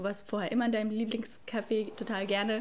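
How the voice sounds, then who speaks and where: Somewhat breathy and fairly high-pitched, a woman speaks at a very fast pace with fairly even intonation. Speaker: cultural studies student. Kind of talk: casual chat.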